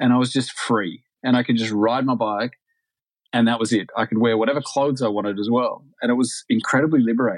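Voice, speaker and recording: Over a quiet background, a man with an Australian accent speaks at a fairly quick pace in a medium pitch with fairly even intonation. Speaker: retired pro cyclist. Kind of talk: casual interview chat.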